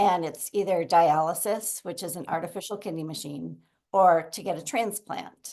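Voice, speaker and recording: A voice with a Minnesota accent and a dark, mellow tone moves at a moderate pace, with ordinary pitch variation and big swings in loudness over a quiet background. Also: woman, fairly low pitch for a woman. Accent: Minnesota American. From Minnesota, US (Minneapolis). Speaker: guest sharing a chronic illness story. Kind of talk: interview testimony.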